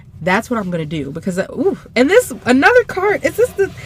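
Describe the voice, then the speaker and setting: A woman with an American accent talks at a very fast pace in an animated tone. Noticeable background noise runs underneath. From US South. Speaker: tarot reader. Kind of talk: channeled tarot reading to camera.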